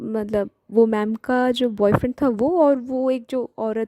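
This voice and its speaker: A woman with a Bengali accent speaks at a fairly high pitch in a dark, mellow tone with ordinary pitch variation, the sound dry and close with no echo on a very clean recording with a silent background. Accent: Bengali-accented Hindi. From Bengal, India. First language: Bengali (speaking Hindi). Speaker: devotional storyteller. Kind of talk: story retelling. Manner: hesitant, many fillers; Hindi-English code-switching.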